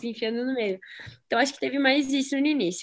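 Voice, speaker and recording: A woman speaks at a high pitch with ordinary pitch variation. The recording is very clean, with a silent background. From southwestern Paraná, Brazil. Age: 20s. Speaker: BMX freestyle athlete. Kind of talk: casual interview.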